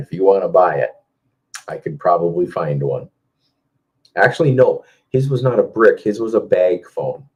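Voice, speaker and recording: A man talks in an Upper Midwest accent. His pace is fairly quick. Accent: Upper Midwest American. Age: 50s. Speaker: car audio competitor and live stream host. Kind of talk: casual live stream chat answering viewer comments. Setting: Facebook live video stream.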